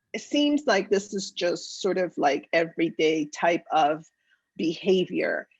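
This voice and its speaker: A woman talks with a slight Spanish accent. Her pitch swings very widely. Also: dry, close sound with no echo, quiet background. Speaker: politician. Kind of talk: interview.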